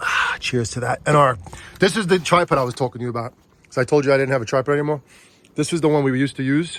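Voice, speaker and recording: Against noticeable background noise, a man talks very fast in an animated tone, his pitch fairly high with ordinary variation. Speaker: Halloween decor vlogger. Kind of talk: casual vlog chat.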